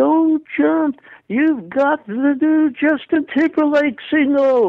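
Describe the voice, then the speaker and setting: A put-on character voice is pitched high. It moves at a very slow pace. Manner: pleading, eager.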